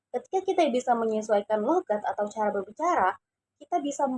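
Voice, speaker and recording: A woman talks at a fairly quick pace and a fairly high pitch, recorded with a dry, close sound and no echo. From Indonesia, Cirebon (West Java). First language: Javanese (speaking Indonesian). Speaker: university student. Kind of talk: class assignment personal narration.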